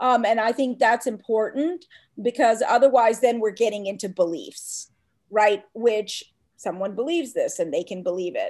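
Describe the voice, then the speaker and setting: In a very clean recording with a silent background, a woman with an unremarkable speaking voice talks at a moderate pace, her fairly high pitch carrying lively intonation. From US South, Atlanta, Georgia. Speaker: professor. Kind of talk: interview.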